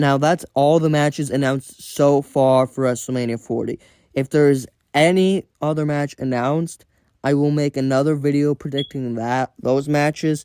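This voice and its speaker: A man's fairly high-pitched yet dark, mellow voice at a moderate pace, in a dry, close sound with no echo. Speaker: wrestling vlogger. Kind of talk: solo predictions monologue. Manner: stuttering; halting, self-correcting.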